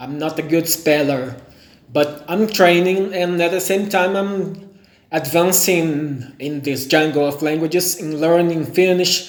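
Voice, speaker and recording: With a high pitch and fairly even intonation, a man is heard amid audible room echo and noticeable background noise. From Brazil. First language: Portuguese. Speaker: language learner. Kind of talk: vlog monologue. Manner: halting, self-correcting.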